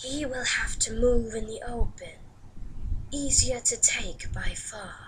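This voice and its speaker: Clear background noise sits behind a woman doing a put-on character voice at a fairly slow pace. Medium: read story. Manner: cold, measured, commanding.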